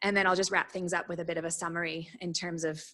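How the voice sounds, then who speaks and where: A woman talks in a monotone, flat intonation with an Australian accent. Her fairly low-pitched voice has a bright, sharp tone. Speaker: recruitment startup speaker. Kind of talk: workshop presentation. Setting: workshop with small audience. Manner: fast.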